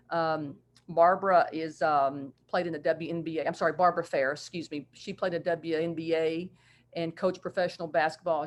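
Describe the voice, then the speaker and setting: A woman's fairly low voice in a West Virginia accent, monotone and flat, at a moderate pace over a quiet background. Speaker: basketball coach. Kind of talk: video call presentation.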